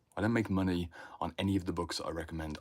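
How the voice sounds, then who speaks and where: A man with a British accent talks at a fairly quick pace in a very deep, low pitch. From Britain. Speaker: inner work mentor. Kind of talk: livestream talk. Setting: livestream in home library. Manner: animated.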